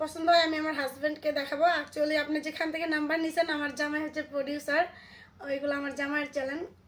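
Her pitch high for a woman, she talks in a flat, monotone way. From Bangladesh. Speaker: YouTuber doing prank phone calls. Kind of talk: prank phone call, casual. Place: home room. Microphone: phone near.

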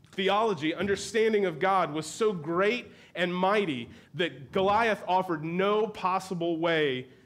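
The reading voice is unforced. Pitch shifts are ordinary.

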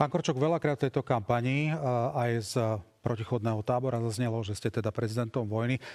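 With ordinary pitch variation, a man rattles along at a very fast pace against a quiet background. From Slovakia. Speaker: radio and TV debate moderator; radio, TV debate moderator. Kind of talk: moderated debate. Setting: studio. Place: studio. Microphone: lapel.

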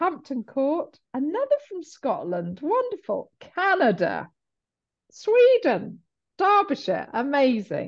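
A woman at a fairly slow pace with very wide pitch swings, against a quiet background. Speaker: webinar host. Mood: warm, cheerful, welcoming. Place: home room. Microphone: video call.

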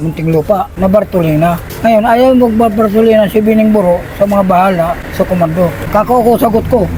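A man with an Eastern Visayan accent, fairly quick pace and ordinary pitch variation, over noticeable background noise. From Eastern Visayas, Philippines. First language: Waray (speaking Tagalog). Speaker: former prisoner and gang member. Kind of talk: personal storytelling interview.

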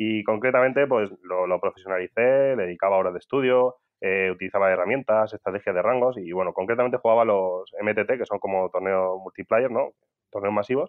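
Speech comes at a fairly quick pace in a normal speaking voice. Pitch variation is ordinary. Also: man, fairly low pitch for a man. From Spain, Albacete. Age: 30s. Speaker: tech entrepreneur. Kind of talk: interview.

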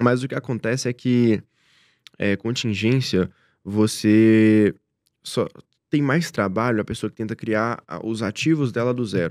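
Fairly low male voice with ordinary pitch variation, dry with no echo, over a quiet background. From Brazil, interior of Minas Gerais (Rio Pardo); Minas Gerais, Brazil. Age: 20s. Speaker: direct response entrepreneur; podcast guest. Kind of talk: interview. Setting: studio. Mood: calm, reflective. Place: studio. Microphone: studio mic.

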